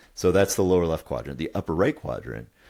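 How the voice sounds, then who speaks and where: A man speaks with a very deep, low pitch, vocal fry and a dark, mellow tone on a very clean recording with a silent background. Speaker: couples coach and podcast co-host. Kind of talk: podcast conversation explaining a model. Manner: halting, stammers and says um a lot.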